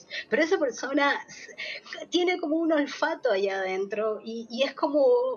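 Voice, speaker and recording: With noticeable background noise, a woman speaks at a high pitch and a moderate pace, her intonation lively. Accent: Uruguayan. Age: 40s. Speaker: theatre producer. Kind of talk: interview. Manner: halting, with frequent repetitions and fillers.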